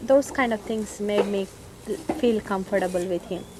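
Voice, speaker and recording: A medium-pitched woman's voice in an Indian accent, with noticeable background noise. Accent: Indian (Telugu). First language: Telugu. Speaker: Indian classical singer. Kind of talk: documentary interview. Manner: halting.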